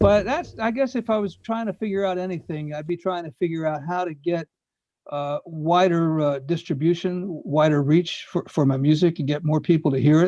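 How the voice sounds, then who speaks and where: A man's high, dark, mellow voice at a moderate pace with ordinary pitch variation. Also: quiet background. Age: 70s. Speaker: retired journalist and songwriter. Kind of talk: casual chat. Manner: halting.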